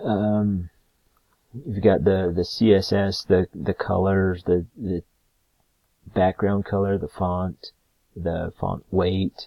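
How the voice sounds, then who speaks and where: A man speaks very slowly in a very deep, low voice. His intonation is monotone and flat, with long, frequent pauses. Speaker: student. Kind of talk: recorded class presentation. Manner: halting, many fillers.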